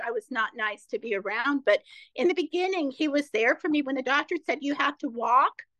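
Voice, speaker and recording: An American accent from a woman at high pitch, raised and projected, with a bright, sharp tone, lively intonation, fairly quick pace and a dry, close sound with no echo. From Ohio, US Midwest. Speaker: author and speaker, former therapist. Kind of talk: casual interview.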